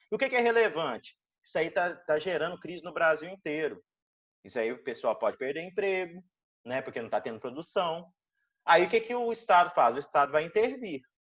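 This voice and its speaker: The background stays quiet. Speech comes at a fairly quick pace. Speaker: law lecturer. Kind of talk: online lecture.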